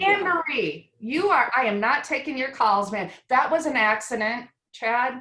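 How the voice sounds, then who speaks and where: A woman with a slight Wisconsin accent speaks fairly slowly in a raised, projected voice, her high pitch bright and sharp in tone and swinging very widely. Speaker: retirement plan advisor. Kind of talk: casual panel chat.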